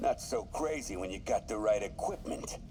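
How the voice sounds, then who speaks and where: Doing a put-on character voice, a man talks at a moderate pace over clear background noise. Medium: video game. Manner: cold, commanding.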